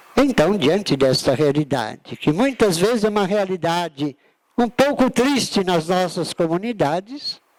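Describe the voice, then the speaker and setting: A man speaks at a fairly slow pace with a high pitch, very wide pitch swings and very even loudness. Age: 60s. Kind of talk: lecture. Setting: auditorium with audience.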